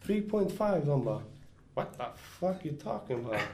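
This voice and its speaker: Fairly slow, somewhat breathy speech from a man, with room echo audible. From Stockholm. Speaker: graffiti writer. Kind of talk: casual chat. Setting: studio.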